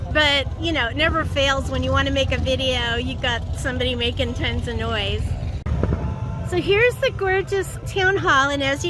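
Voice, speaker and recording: A woman's upbeat tone at a moderate pace, with music in the background. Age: old. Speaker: voice actor. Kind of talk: casual talk to camera. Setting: outdoors.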